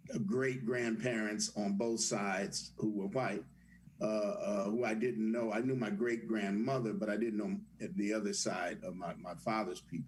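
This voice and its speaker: Through noticeable background noise and audible room echo, a man speaks at a fairly low pitch and moderate pace with ordinary pitch variation. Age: 70s. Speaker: actor and theater teacher. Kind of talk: panel discussion. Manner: halting, many repetitions.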